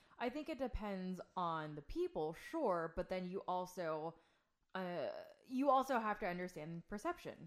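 A plain, everyday voice with lively intonation and a quiet background. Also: woman, medium pitch for a woman, moderate pace. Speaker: host's wife. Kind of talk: casual conversation.

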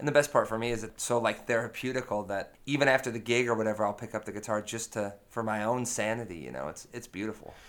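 Recorded very cleanly against a silent background, a man talks at a very fast pace and medium pitch, with fairly even intonation and hardly any pauses. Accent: American. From United States. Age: 30. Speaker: blues-rock guitarist and singer. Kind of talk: casual interview. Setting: in person at the club.

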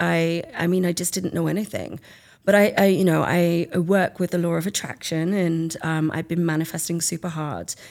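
On a very clean recording with a silent background, a woman with an English accent speaks at a moderate pace, with a fairly low pitch and ordinary pitch variation. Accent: English, self-described as dodgy. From England. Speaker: artist and book author. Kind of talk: casual interview.

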